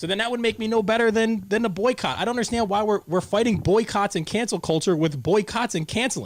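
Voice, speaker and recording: A man talks at a very fast pace with hardly any pauses, in a high pitch with ordinary pitch variation. His tone is animated. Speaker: talk show host. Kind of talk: casual chat. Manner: loud.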